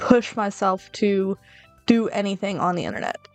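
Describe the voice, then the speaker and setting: A woman talks with fairly even intonation at a medium pitch while music plays in the background. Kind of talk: casual talk to camera. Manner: rambling, unscripted.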